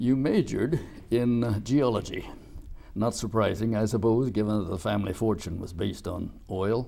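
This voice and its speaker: The man's pitch is fairly low and his tone dark and mellow. He speaks at a moderate pace with ordinary pitch variation. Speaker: interviewer. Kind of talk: formal interview. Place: studio.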